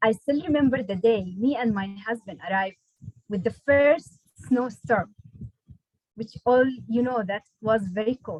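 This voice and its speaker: Somewhat breathy, a woman speaks at a fairly slow pace with ordinary pitch variation. She leaves long, frequent pauses. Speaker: nurse and PhD student. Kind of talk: prepared speech. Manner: halting.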